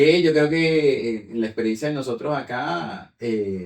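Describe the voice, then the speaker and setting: A man speaks with a Venezuelan accent. His pitch varies in an ordinary way. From Venezuela, Yaracui state. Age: 30s. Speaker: language teacher. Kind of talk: casual conversation.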